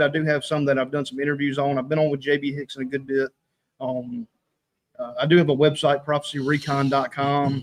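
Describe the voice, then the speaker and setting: With a slight Southern US accent, a man talks at a fairly quick pace. His pitch is fairly high. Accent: slight southern rural. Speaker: online prophecy ministry writer. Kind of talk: casual chat.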